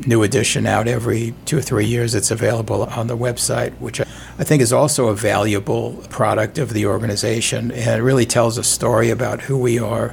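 Speaking with a New York accent, the voice moves at a fairly quick pace. Its intonation is monotone and flat, with noticeable background noise. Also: man, medium pitch for a man. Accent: New York accent, still noticeable. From New York City. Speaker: civic group chair. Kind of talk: radio interview. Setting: studio.

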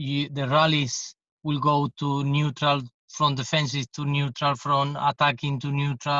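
In a Spanish accent, a man speaks fairly slowly at a fairly high pitch in a monotone, flat delivery, recorded dry and close with no echo against a quiet background. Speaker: tennis coach. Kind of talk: podcast interview.

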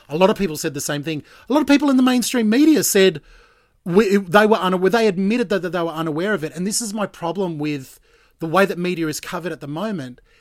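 Speaking very fast, a man with an Australian accent uses lively intonation. His pitch is high. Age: 40s. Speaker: breakfast radio host. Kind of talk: casual chat. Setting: Skype call.

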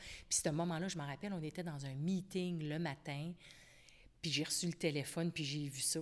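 On a very clean recording with a silent background, the voice stays monotone, its intonation flat. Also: woman. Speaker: company founder. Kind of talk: interview.

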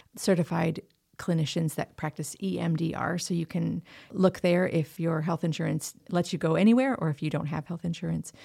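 A woman with a plain, everyday voice speaks at a fairly low pitch with fairly even intonation. The recording is very clean, with a silent background. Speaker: member care coordinator. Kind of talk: interview discussing trauma.

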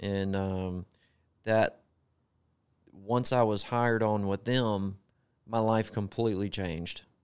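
Speaking very slowly with long, frequent pauses, a man with a Southern accent keeps a fairly low pitch and fairly even intonation. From US South, Gulfport, Mississippi. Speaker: truck driver, former sheriff's deputy. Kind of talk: podcast interview.

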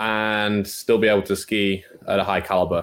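A man with a Manchester accent talks at a fairly low pitch and a moderate pace on a very clean recording with a silent background. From northern England, North Manchester. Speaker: college water skier. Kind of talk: podcast interview.

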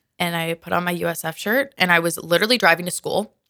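An American accent from a woman with a bright, sharp tone, vocal fry and a moderate pace. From Minnesota. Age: 20s. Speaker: college student, convert. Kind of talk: testimony. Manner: animated.

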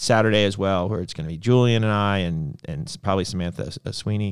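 A man talks fairly quickly at a fairly low pitch, using an ordinary speaking voice with ordinary pitch variation. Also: very clean recording, silent background. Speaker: podcast host. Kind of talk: casual banter on a livestream. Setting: live stream, two hosts. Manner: joking, playful, laughs a lot.

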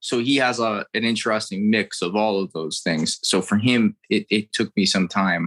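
A man's fairly low voice at a moderate pace, with ordinary pitch variation and hardly any pauses. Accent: American. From Florida, US. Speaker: impressionist comedian. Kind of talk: casual interview chat with impressions. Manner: animated, switches into character voices.

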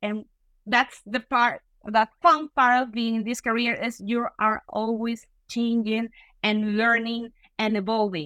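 Fairly slow, fairly even speech in a Venezuelan accent. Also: woman. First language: Spanish. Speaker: software engineer and tech lead. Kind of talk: interview. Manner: halting.

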